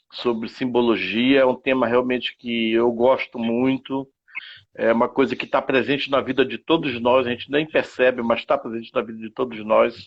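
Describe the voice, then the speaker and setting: A man speaks at medium pitch and a moderate pace, his intonation monotone and flat. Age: 60s. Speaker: live stream host. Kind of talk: casual discussion. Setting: online live stream. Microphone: bad internet connection.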